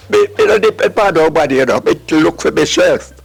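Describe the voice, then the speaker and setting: A man speaks in a Jamaican accent at a moderate pace. Background noise is noticeable. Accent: Jamaican Patois. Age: 80s+. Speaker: farmer. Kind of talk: interview answer.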